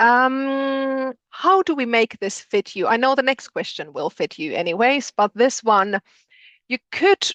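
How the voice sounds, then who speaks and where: Against a quiet background, a woman speaks in a high pitch with a strong Finnish accent. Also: dry, close sound with no echo. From Finland. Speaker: postgraduate programme director. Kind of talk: interactive webinar. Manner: hesitant, many fillers.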